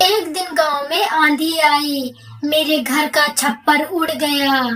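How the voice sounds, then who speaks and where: Over light background noise, a female-sounding put-on character voice cackles at a fairly slow pace in a high pitch. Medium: cartoon. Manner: cackling, menacing.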